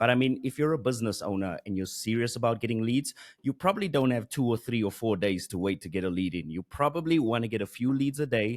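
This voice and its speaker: A medium-pitched man with a South African accent, very fast and with hardly any pauses, lively in intonation, over a quiet background. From South Africa, Johannesburg. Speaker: Google Ads expert and course creator; podcast guest, marketing teacher. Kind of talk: interview. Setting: video call. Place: studio. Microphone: studio mic.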